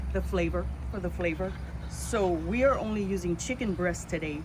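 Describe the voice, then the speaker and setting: A woman talks at a moderate pace. Room echo is audible, along with noticeable background noise. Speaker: tourism promoter, cooking demo host. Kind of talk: cooking tutorial. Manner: casual, friendly.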